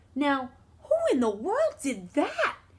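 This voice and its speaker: A woman's high-pitched, put-on character voice. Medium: read story.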